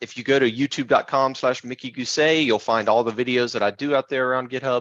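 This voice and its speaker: A medium-pitched man's voice with an American accent, dry and close with no echo. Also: quiet background. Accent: Southern US, heavy when excited. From US South (Tupelo, Mississippi). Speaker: software architect, tech speaker. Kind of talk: technical presentation. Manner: fast.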